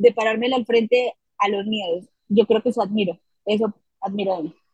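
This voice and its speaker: The woman's fairly quick speech sounds dry and close, without any echo. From Colombia, Bucaramanga, Santander. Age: young. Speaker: political communications director. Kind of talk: interview conversation.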